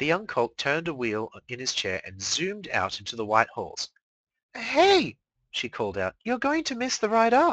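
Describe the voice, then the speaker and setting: The pace is moderate. The background is quiet. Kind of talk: live fanfiction reading, narrating a story aloud.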